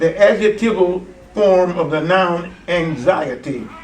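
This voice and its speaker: A man with an American accent speaks at a high pitch with ordinary pitch variation. Audible room echo and noticeable background noise accompany him. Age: 80s+. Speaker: preacher and Bible teacher. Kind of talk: seminar teaching. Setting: church. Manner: conversational, interactive with audience.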